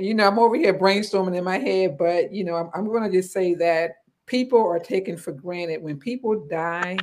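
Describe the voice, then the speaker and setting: Speaking at a fairly quick pace, a woman uses an unremarkable speaking voice of medium pitch with ordinary pitch variation. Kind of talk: casual chat.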